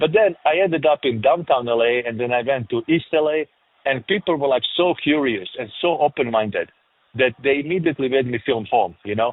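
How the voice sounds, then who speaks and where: Talking at a fairly quick pace, a man with a strong European accent uses a fairly high pitch and lively intonation. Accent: thick European. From former Yugoslavia. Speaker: film director and producer. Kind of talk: interview. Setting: remote interview.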